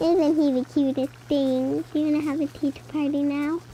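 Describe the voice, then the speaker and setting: A high, put-on character voice speaks at a moderate pace over clear background noise. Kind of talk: comedy Halloween skit. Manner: theatrical, cackling.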